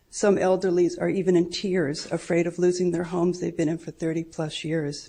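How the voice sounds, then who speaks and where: Dark, mellow tone with vocal fry, a moderate pace, and a quiet background. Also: woman. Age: 70s. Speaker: mobile home park resident. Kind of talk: public comment at city council. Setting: city council meeting.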